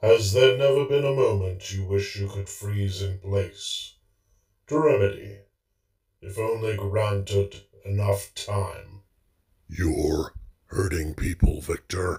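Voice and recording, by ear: A man speaks slowly in a raspy, put-on character voice with fairly low pitch, ordinary pitch variation, and long, frequent pauses.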